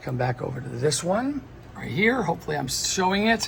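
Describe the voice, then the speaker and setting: A man is speaking, with a little noise audible in the background. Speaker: lighting technician. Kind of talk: tutorial. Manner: casual, filler-heavy. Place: hall. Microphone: phone near.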